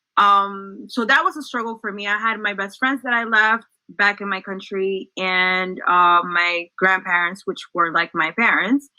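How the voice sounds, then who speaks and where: A woman with a Spanish accent speaks at medium pitch in a bright, sharp tone with ordinary pitch variation. Her pace is fairly slow, with hardly any pauses. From El Salvador, then New Jersey from age nine. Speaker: social work graduate student, former school staff. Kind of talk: interview.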